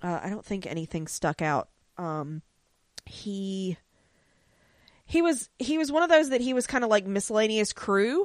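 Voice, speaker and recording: In a very clean recording with a silent background, a woman speaks loudly at a moderate pace and medium pitch, her animated tone marked by very wide pitch swings and long, frequent pauses. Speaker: podcast co-host. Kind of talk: casual chat.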